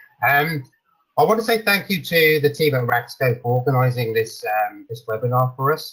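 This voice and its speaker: A man in a British accent talks at a medium pitch with ordinary pitch variation. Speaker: sales director at a software company presenting. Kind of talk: webinar product presentation. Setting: online webinar with screen sharing. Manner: frequent fillers (um, uh) and repetitions.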